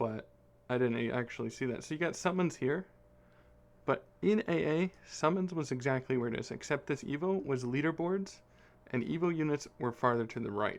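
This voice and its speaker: A man with a fairly high pitch talks with lively intonation. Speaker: gaming YouTuber. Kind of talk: game commentary. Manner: fast; casual, rambling.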